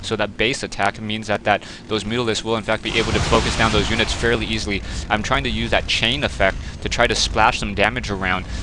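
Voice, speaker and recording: A man with a fairly low pitch talks at a very fast pace with fairly even intonation, over noticeable background noise. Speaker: gaming commentator. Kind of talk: game replay commentary. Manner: stuttering.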